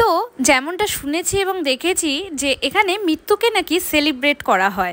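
The voice has a fairly bright tone and big pitch swings. It moves at a moderate pace. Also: woman, high pitch for a woman.

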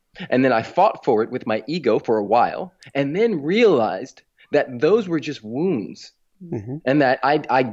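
A fairly high-pitched man with an American accent, very wide pitch swings and a moderate pace, against a quiet background. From Los Angeles, California. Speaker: personal development author; interview guest. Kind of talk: interview. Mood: earnest, reflective. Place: home room. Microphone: studio mic.

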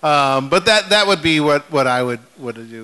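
This man has an American accent. His tone is bright and sharp. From California, Bay Area; California. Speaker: brewmaster; panelist. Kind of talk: live panel talk. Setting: stage with audience. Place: stage.

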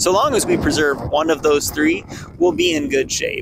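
A man talks at a moderate pace in a dry sound with no echo, though noticeable background noise comes through. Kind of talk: tutorial. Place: open country. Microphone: phone near.

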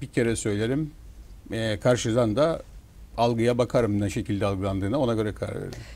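A man's voice at medium pitch with a dark, mellow tone and a fairly quick pace. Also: ordinary pitch variation. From Northern Cyprus, İskele; Northern Cyprus. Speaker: newspaper owner and businessman; newspaper owner. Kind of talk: TV talk show interview. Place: studio. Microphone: lapel.

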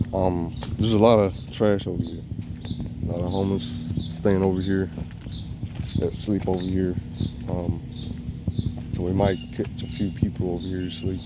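A man talks with long, frequent pauses and ordinary pitch variation. The sound is dry with no echo, though loud background noise is present. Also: moderate pace. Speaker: can collector vlogger. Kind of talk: casual vlog chat. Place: street. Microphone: phone near.

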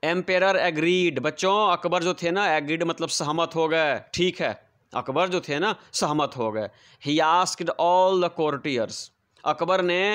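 A high-pitched man at a moderate pace, with ordinary pitch variation and a quiet background. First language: Bhojpuri (speaking Hindi). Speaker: English teacher. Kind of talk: lesson explanation.

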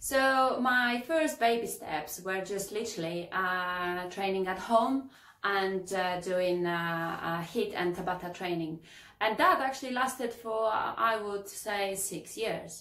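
Audible room echo surrounds a woman talking at a very slow pace. Her pitch variation is ordinary. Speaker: fitness coach, kitesurf instructor. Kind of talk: casual vlog chat. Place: home room.

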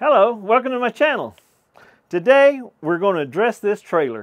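A man talks at a moderate pace with a quiet background. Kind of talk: casual vlog chat. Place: open country.

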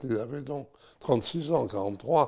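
The background is quiet. A man does the talking. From France. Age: 90s. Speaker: war witness, former deportee; witness. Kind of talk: testimony. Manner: halting. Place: home room. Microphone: lapel.

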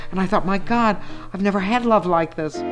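A woman speaks at a medium pitch while clear music plays in the background. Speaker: stand-up comedian. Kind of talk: documentary interview answer. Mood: enthusiastic, defiant. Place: home room.

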